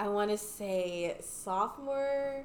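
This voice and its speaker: Lively intonation from a woman, with room echo clearly audible. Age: 20s. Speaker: fashion content creator. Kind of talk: casual chat.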